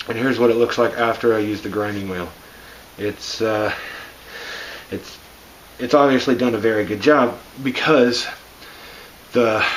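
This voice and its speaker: With noticeable background noise around him, a man of medium pitch speaks at a moderate pace with fairly even intonation and long, frequent pauses. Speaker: car hobbyist making a DIY video. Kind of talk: tutorial.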